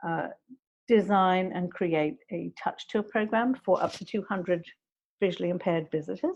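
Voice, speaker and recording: At a moderate pace, a woman speaks at a medium pitch with vocal fry. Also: ordinary pitch variation, quiet background. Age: 60s. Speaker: museum accessibility educator. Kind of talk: interview conversation. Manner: hesitant, with many fillers.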